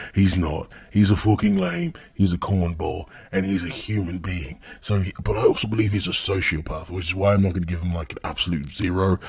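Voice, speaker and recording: Delivery is fairly quick. Intonation stays fairly even, and the voice is somewhat breathy. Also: man. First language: not English. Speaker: commentary YouTuber. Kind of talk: critical commentary video. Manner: casual, profane rant.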